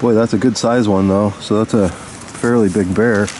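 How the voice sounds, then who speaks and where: Amid noticeable background noise, a man with a fairly low voice talks at a fairly slow pace with fairly even intonation. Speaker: outdoor explorer vlogger. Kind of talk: casual field vlog narration. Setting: outdoors in a valley. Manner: quiet, hushed.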